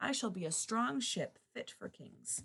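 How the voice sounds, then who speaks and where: A woman performs a put-on character voice at a fairly high pitch. Her delivery is fairly slow. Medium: read story.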